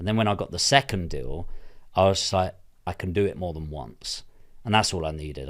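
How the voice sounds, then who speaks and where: Recorded very cleanly against a silent background, a man with a southern English accent speaks at a fairly quick pace. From southern England. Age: 30s. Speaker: property investor. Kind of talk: interview. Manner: casual, sweary.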